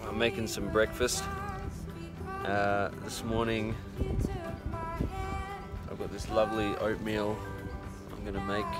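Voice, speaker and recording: Over loud music in the background, a man speaks at a fairly slow pace with long, frequent pauses, the sound dry with no echo. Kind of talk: casual vlog chat. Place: open country. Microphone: phone near.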